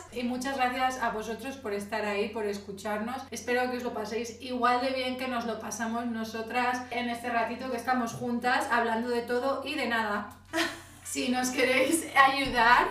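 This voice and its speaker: A woman with a high voice talks in a monotone, flat intonation, with audible room echo and noticeable background noise. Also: moderate pace. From Spain. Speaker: podcast co-host. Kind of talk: casual chat. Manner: loud.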